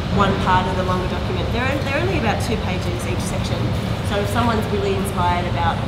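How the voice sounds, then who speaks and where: A woman's voice over loud background noise. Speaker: discussion facilitator. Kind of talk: group discussion facilitation. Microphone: camera far.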